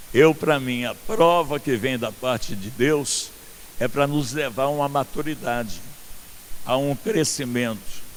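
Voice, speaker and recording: A man speaks at a fairly slow pace, his pitch medium and its variation ordinary. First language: not Portuguese (speaking Portuguese). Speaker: pastor. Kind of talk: sermon. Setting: outdoor church event with congregation.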